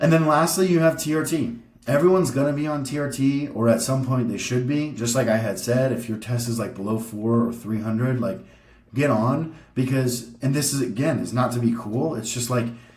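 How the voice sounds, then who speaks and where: Somewhat breathy, a man talks at a fairly quick pace with audible room echo around him. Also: medium pitch for a man, ordinary pitch variation. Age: 30s. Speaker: bodybuilder vlogger. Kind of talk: casual educational vlog presentation. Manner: casual, filler-heavy.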